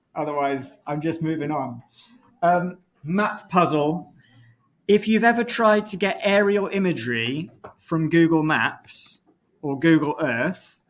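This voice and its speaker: A man talks at a fairly slow pace in a normal speaking voice. His pitch is fairly high and his intonation is lively. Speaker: university lecturer. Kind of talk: lecture.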